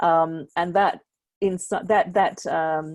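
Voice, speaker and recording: In a very clean recording with a silent background, a woman speaks in a fairly low voice with fairly even intonation. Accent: Australian. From Australia. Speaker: NGO researcher panelist. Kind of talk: panel discussion.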